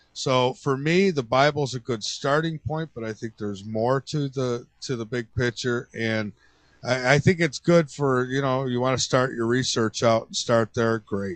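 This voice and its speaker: A man talks at a moderate pace with medium pitch and ordinary pitch variation. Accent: American. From upstate New York, Rochester. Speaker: radio show host. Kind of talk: casual interview chat.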